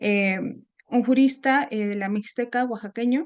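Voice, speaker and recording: A woman with a Mexican accent speaks at a fairly high pitch with fairly even intonation. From Mexico, Puebla. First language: Nahuatl (speaking Spanish). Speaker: seminar speaker. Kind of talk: academic talk. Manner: halting, many fillers.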